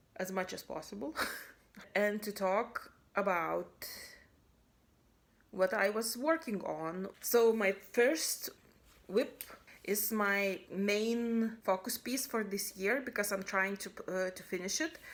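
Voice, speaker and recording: A woman's medium-pitched voice at a very slow pace, with long, frequent pauses, big swings in loudness, ordinary pitch variation, and a very clean recording over a silent background. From Lithuania. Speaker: cross-stitch video blogger. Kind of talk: casual hobby video monologue. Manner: halting, many fillers and restarts.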